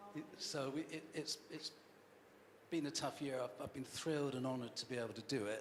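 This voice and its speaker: Fairly quick speech with ordinary pitch variation comes through noticeable background noise. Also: man, fairly high pitch for a man. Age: 60s. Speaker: football club chairman and CEO. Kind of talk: fans' forum Q&A. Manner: halting, many repetitions.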